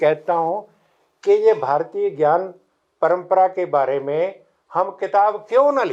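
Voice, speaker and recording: A man speaks with a high pitch. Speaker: professor. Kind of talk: lecture. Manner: halting.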